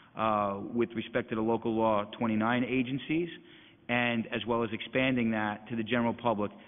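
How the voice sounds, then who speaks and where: A man of medium pitch speaks in a plain, everyday voice, keeping his loudness very even and his intonation fairly even. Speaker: elections agency executive director. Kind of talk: budget hearing testimony.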